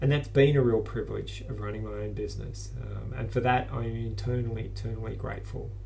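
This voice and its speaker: Talking at a fairly quick pace, a man is heard with audible echo in the room. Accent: Australian. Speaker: business owner with multiple sclerosis. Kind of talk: personal video blog monologue. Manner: halting, many fillers.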